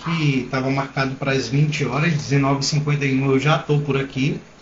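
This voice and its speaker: Noticeable background noise sits behind a man speaking at a fairly quick pace. His fairly high voice has monotone, flat intonation. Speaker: entrepreneur. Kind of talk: live stream talk to viewers. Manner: hesitant, stammering.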